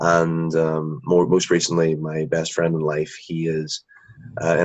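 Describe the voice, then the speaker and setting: A man with a Northern Irish accent, very deep low pitch, fairly slow pace. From Northern Ireland. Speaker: drama graduate. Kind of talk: interview.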